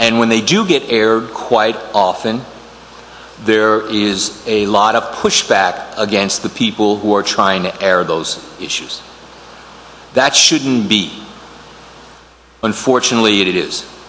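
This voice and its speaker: Over noticeable background noise and audible room echo, a man with a fairly low pitch speaks at a fairly slow pace, leaving long, frequent pauses. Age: 60s. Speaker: attorney and committee applicant. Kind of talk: public meeting statement. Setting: town council meeting room. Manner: halting, many fillers.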